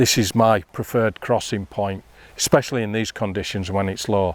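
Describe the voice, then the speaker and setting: With a plain, everyday voice, a man speaks at a moderate pace, his pitch fairly low with ordinary variation, in a very clean recording with a silent background and a dry, close sound with no echo. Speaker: fly fishing instructor. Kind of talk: outdoor tutorial. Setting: outdoors by a river.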